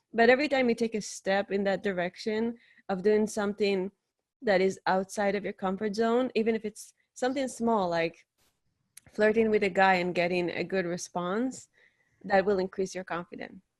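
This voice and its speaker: A woman with a non-native accent speaks at a moderate pace and medium pitch with fairly even intonation, recorded very cleanly, with a silent background and a dry, close sound with no echo. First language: not English. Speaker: podcast host and dating coach, interview guest. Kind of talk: interview, advice-giving. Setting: live video stream.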